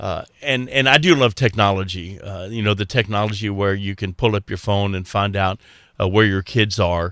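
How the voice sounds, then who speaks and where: On a very clean recording with a silent background, a man with an American accent speaks at a moderate pace, with fairly low pitch and fairly even intonation. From Texas. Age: 60s. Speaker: radio host. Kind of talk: casual chat. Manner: halting, many fillers.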